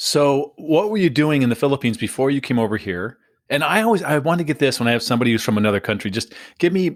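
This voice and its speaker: Someone talks very fast with a lively, bouncing intonation. The recording is very clean, with a completely silent background. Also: man. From San Diego. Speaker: podcast host. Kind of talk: interview.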